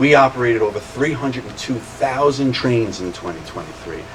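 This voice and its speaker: Against noticeable background noise, a man of medium pitch talks at a fairly quick pace. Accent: Long Island. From Long Island, New York. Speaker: railroad executive. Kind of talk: public speech.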